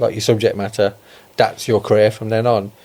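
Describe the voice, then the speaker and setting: With a Birmingham accent, a man speaks at a fairly low pitch in a monotone, flat intonation. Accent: Birmingham (Brummie) English. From Birmingham, England (Solihull). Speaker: podcast host. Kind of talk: podcast interview.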